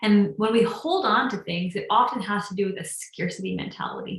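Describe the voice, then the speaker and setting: A woman talks at medium pitch while noticeable background noise is heard. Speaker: meditation teacher. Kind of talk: casual chat. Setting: livestream. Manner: fast; halting.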